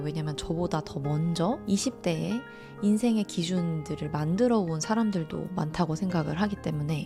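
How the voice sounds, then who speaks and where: Calm in tone yet lively in intonation, a woman with a fairly low pitch speaks over music in the background. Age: 30s. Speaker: mental-wellness channel host and essay author. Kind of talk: casual talk to camera, self-reflective talk (talk ASMR). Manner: calm, reflective, conversational, with some hesitation fillers.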